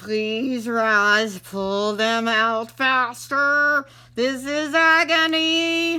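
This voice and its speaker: A female-sounding put-on character voice, high in pitch, at a very slow pace. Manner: pained, speaking through clenched teeth.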